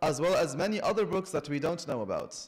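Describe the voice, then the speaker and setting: In a quiet background, a man speaks at a high pitch with ordinary pitch variation. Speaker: religious lecturer. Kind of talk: sermon. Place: church. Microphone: podium.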